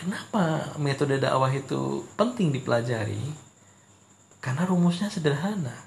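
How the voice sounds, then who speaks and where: Audible room echo carries a man's fairly high, somewhat breathy voice as he talks at a moderate pace with lively intonation. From Indonesia, Ponorogo, East Java. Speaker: university lecturer. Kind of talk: lecture. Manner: hesitant, many fillers.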